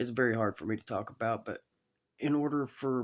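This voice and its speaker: The speaker is a man. He has a Southern US accent. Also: very clean recording, silent background. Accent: Southern US (Georgia). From US South, Georgia (Chatsworth). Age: 30s. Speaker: cancer survivor. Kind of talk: testimony. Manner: halting.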